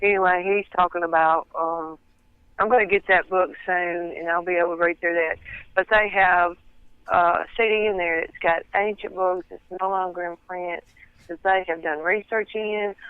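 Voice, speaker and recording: In a strong Southern US accent, a woman speaks with a monotone, flat intonation. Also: medium pitch for a woman, moderate pace. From US South. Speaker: interview guest, researcher of religious topics. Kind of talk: interview. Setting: phone call. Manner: careful to speak clearly.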